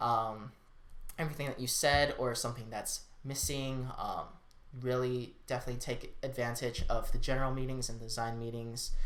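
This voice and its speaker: At a moderate pace, a man with a medium pitch talks in a flat, monotone way, with audible echo from the room. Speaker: student design team member giving advice. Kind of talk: casual vlog talk. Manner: filler-heavy, informal.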